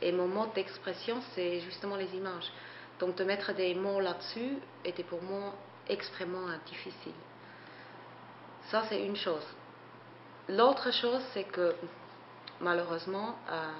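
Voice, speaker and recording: In a room with audible echo and noticeable background noise, a woman with a non-native accent speaks at a fairly slow pace with long, frequent pauses. Her medium pitch shows ordinary variation. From Switzerland. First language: not French (speaking French). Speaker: photographer and artist. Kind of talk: interview. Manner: hesitant, many fillers.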